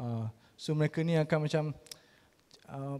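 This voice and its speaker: At a fairly slow pace, a man speaks with a fairly high pitch and a dark, mellow tone. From Terengganu, Malaysia. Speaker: arts gallery organiser. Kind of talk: presentation. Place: hall.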